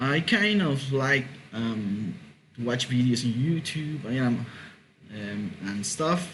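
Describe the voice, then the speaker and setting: With lively intonation and a medium pitch, a man speaks at a very slow pace in a room with audible echo. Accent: Mexican. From Mexico. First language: Spanish. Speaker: podcast host. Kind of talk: casual monologue. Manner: halting, many fillers and repetitions.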